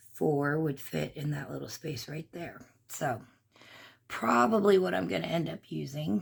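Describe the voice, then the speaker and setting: Over a very clean recording with a silent background, a woman speaks fairly slowly in a very deep, low voice with vocal fry and very wide pitch swings. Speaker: crafts channel host. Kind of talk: crafting tutorial. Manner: casual, chatty with fillers.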